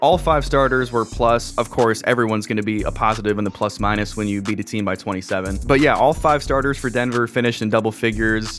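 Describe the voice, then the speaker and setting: A man with an American accent and medium pitch speaks very fast with hardly any pauses. His pitch varies in an ordinary way, with music in the background. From Minnesota. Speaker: sports YouTuber, basketball commentator. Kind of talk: casual sports recap talk to camera.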